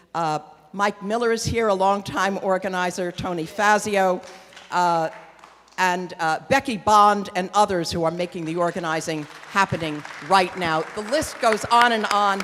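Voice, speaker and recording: A woman speaks with ordinary pitch variation while crowd noise carries in the background. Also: medium pitch for a woman, moderate pace. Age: 70s. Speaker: activist and organizer. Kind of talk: onstage Q&A remarks. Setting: stage with audience in a theatre.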